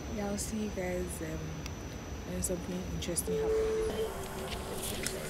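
A woman speaking at a fairly slow pace over loud background noise. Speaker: travel vlogger. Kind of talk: casual vlog chat. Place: station. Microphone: phone near.

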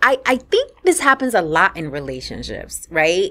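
Speaking with a New York accent, a woman sounds animated and bright, with a sharp tone and a moderate pace. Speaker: podcast host. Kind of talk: interview; scripted intro. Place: studio. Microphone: studio mic.

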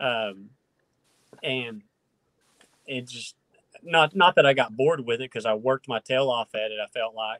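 Speaking with a rural Oklahoma accent, a man at a medium pitch uses ordinary pitch variation and a moderate pace, with long, frequent pauses, big swings in loudness, dry sound with no echo and a quiet background. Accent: Oklahoma rural Southern-Midwestern. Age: 30s. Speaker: professional bass angler. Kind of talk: casual interview chat. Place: home room. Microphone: video call.

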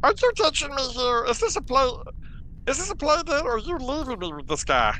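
There is clear background noise as a put-on character voice speaks at a moderate pace. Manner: nervous, suspicious.

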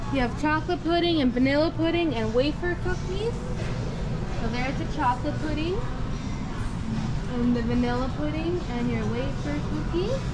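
With music in the background, a woman speaks at a moderate pace, pausing long and often. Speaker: food vlogger. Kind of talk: casual vlog commentary. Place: shop. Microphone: phone near.

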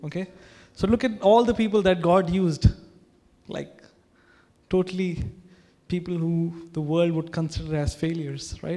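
This man has a high pitch and a dark, mellow tone, with fairly even intonation. He keeps a moderate pace but leaves long, frequent pauses. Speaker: pastor. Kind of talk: sermon. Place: church. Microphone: handheld.

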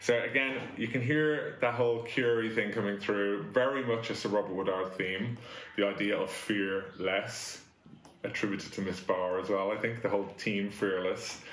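Light background noise and audible room echo frame the recording. A man speaks at a fairly low pitch with fairly even intonation. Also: moderate pace. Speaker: school head teacher. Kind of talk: assembly address. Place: office. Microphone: camera far.

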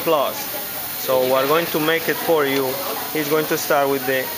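Loud noise fills the background. Over it, a man talks. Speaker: presenter. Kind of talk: commentary. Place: factory. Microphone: phone near.

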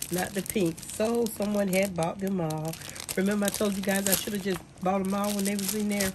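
A woman talks at a fairly quick pace while noticeable background noise plays around her. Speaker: small business owner, handmade crafts seller. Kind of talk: casual talk to camera. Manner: chatty, upbeat. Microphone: phone near.

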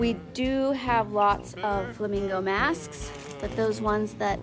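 A woman is speaking. Clear music plays behind her. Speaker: shop staff hosting live sale. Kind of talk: casual livestream sales chat. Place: shop. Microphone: phone near.

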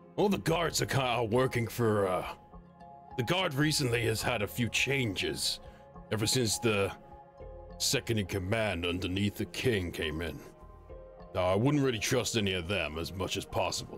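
A man puts on a character voice at a fairly low pitch, moving at a moderate pace with long, frequent pauses. Clear music plays in the background. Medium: virtual streamer. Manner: casual, conspiratorial, folksy.

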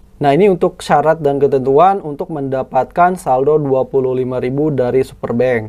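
A man's fairly high voice, an ordinary speaking voice, at a fairly slow pace with ordinary pitch variation. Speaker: YouTuber reviewing finance apps. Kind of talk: app tutorial screen walkthrough. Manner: casual, conversational.

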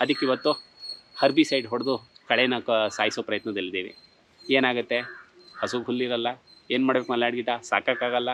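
A man's medium pitch, an ordinary speaking voice, with fairly even intonation. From Bengaluru, India. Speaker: cow shelter owner. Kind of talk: interview monologue.

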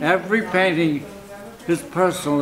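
A man talks at a high pitch over light background noise. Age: 80s+. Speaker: impressionist painter. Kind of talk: interview answer.

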